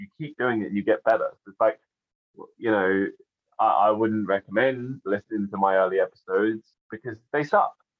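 The speaker keeps a moderate pace while the loudness swings widely. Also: man. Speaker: podcaster. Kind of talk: casual chat. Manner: casual, swears.

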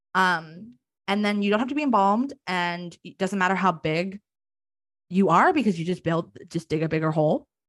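Recorded with a dry, close sound and no echo, a woman uses an ordinary speaking voice at medium pitch, moderate pace and ordinary pitch variation. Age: 20s. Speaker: theologian and death worker, graduate student. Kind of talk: interview, casual chat.

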